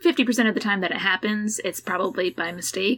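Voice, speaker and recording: A woman speaks with an American accent. Her tone is bright and sharp, with ordinary pitch variation. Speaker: shuttle driver, outfitter worker and hiker. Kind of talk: casual conversation.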